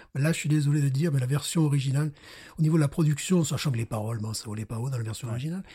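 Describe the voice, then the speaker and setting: Very fast and fairly high-pitched, a man speaks with a dark, mellow tone, a somewhat breathy quality and ordinary pitch variation. The recording is very clean, with a silent background. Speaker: beer podcast host. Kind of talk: casual chat.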